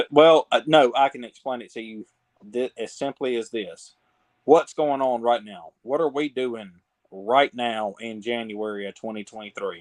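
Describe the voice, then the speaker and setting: A man speaks at a moderate pace with a medium pitch and ordinary pitch variation. His loudness swings widely from moment to moment. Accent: Southern US. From Mississippi, US South. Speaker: podcast guest, fan commentator. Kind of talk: casual chat.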